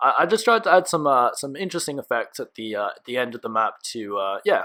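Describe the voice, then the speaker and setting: On a very clean recording with a silent background, a man with an Australian accent talks at a very fast pace in a bright, sharp tone. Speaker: gaming YouTuber. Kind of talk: gameplay commentary. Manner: stuttering, many fillers.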